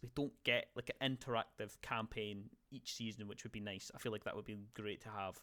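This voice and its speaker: This man has a Scottish accent and a bright, sharp tone. He talks at a fairly quick pace. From Scotland. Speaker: gaming podcast host. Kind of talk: casual chat. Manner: halting, many fillers and restarts.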